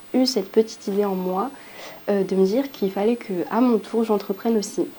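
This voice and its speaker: The speech comes at a moderate pace with ordinary pitch variation. Noticeable background noise sits behind it. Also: woman. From southern France (Montpellier), from Île-de-France. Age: 20s. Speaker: aspiring entrepreneur. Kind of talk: testimony. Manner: hesitant, many fillers.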